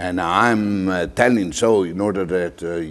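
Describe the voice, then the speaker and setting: A man talks with a strong Italian accent. His pitch is very deep and low, and his pace fairly slow. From Italy. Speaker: lecturer. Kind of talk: formal. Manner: hesitant, many filler sounds.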